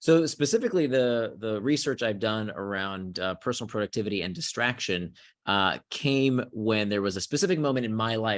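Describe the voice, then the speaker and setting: A man with an American accent and an ordinary speaking voice, fairly low-pitched, talking at a fairly quick pace with ordinary pitch variation over a quiet background. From US South, Central Florida. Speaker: author on productivity. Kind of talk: podcast interview.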